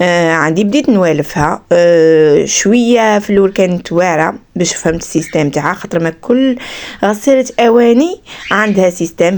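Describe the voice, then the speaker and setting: At a moderate pace, a woman speaks in a fairly low voice with lively intonation. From Algeria, Skikda. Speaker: vlogger, mother and homemaker. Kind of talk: casual vlog narration.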